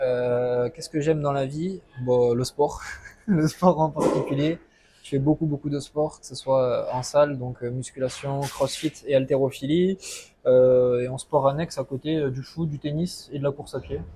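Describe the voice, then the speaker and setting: The speaker goes at a fairly slow pace with fairly even intonation, though the loudness swings widely. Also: man, fairly high pitch for a man. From southwest France (Landes). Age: 20s. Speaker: coaching client. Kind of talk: testimony interview. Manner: hesitant, many fillers.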